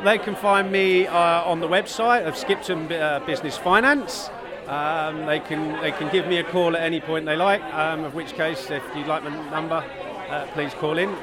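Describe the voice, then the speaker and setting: The speech has ordinary pitch variation and a moderate pace, with crowd noise in the background. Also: man, high pitch for a man. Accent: British. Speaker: invoice finance businessman. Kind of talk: interview.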